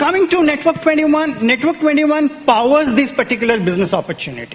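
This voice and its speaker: Over noticeable background noise, a man talks at a very fast pace in an extremely high pitch. His intonation is lively and his loudness very even. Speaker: network marketing business leader. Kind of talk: motivational business presentation.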